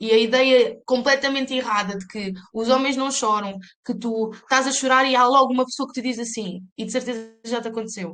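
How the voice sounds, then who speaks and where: A woman speaks in a relaxed tone at a high pitch. Her pace is fairly quick and her intonation fairly even. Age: 30s. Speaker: life coach, mother, photographer. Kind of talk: podcast interview answer. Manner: relaxed but assertive.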